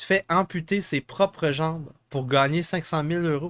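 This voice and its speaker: In a Quebec accent, a man talks at a fairly slow pace with a high pitch and a bright, sharp tone. The sound is dry and close with no echo, in a very clean recording with a silent background. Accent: Québécois French. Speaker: political podcast host. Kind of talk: live podcast commentary on news. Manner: halting, many fillers.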